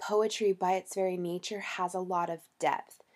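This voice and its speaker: A dark, mellow tone with fairly even intonation on a very clean recording with a silent background. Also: woman. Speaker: college instructor. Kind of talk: lecture. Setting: recorded at home. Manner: hesitant, many ums.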